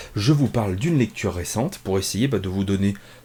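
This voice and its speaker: A man's somewhat breathy voice with a dark, mellow tone at a fairly quick pace. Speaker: comics reviewer. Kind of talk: casual review monologue. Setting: home office. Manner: hesitant, many fillers; relaxed.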